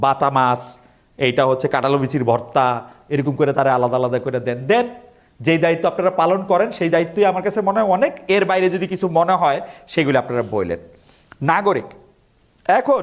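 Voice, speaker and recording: The man has a fairly high pitch. His tone is animated and his intonation lively. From Bangladesh. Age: 50s. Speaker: expatriate speaker. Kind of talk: speech to audience.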